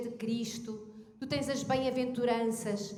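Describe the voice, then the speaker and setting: With a European Portuguese accent, a woman speaks at a moderate pace amid audible room echo. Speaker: pastor. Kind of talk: sermon.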